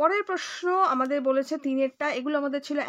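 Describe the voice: Her high voice has a fairly bright tone, ordinary pitch variation and a fairly quick pace as the woman talks.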